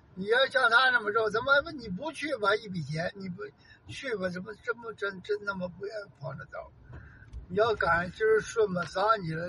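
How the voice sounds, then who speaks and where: A man's high, raised, projected voice at a moderate pace, with lively intonation and big swings in loudness. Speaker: host's father. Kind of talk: casual chat.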